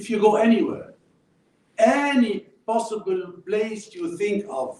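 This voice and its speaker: A man's high-pitched voice with an Arabic accent and a dark, mellow tone, fairly slow in pace, with very wide pitch swings and big swings in loudness. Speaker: former diplomat and writer. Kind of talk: public talk.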